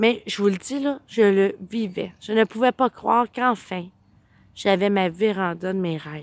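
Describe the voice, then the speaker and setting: A woman's unremarkable speaking voice, medium-pitched, at a fairly slow pace with ordinary pitch variation, in a very clean recording with a silent background and a dry, close sound with no echo. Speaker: vlogger. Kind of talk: casual personal storytelling vlog.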